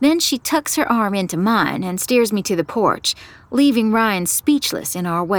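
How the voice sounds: Lively intonation marks this delivery. It comes in a natural reading voice.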